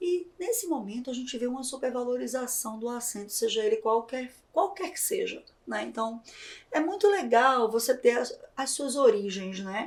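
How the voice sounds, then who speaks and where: Lively intonation and big swings in loudness mark this moderate-paced voice with a northeastern Brazilian accent. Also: woman, high pitch for a woman. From Brazilian Northeast. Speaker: podcast host and journalist. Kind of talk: interview podcast. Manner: animated.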